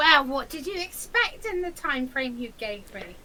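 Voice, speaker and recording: A put-on character voice speaks at a high pitch and a moderate pace. Clear background noise is present. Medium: actual play. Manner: excitable, repetitive, fussy.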